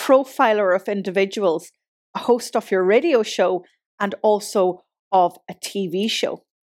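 A woman with an Ulster accent, medium pitch, and a fairly slow pace, in a dry, close sound with no echo. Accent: Irish (Ulster). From Donegal, Ireland. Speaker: podcast host and marketing consultant. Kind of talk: podcast monologue and interview.

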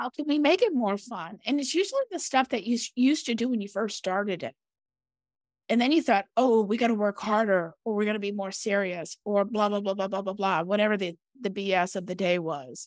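In a normal speaking voice, a woman talks at a fairly quick pace with lively intonation. The recording is very clean, with a silent background and a dry, close sound with no echo. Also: medium pitch for a woman. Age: 50s. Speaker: podcast co-host, business owner. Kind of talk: casual chat.

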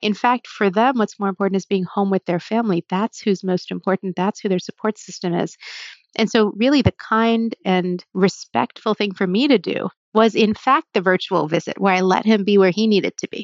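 A woman with a plain, everyday voice, medium pitch, ordinary pitch variation and a fairly quick pace. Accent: American. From US Northeast, New Jersey. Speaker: cardiologist. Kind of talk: interview.

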